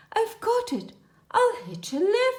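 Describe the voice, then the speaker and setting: A put-on character voice sounds female and squeaky. Its pitch is extremely high for a woman. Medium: read story.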